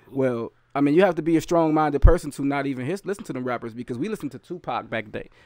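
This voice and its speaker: A man at a very fast pace, ordinary pitch variation, dry sound with no echo, quiet background. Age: 30s. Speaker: rapper and youth educator. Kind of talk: casual chat. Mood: earnest, reflective. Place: home room. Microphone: studio mic.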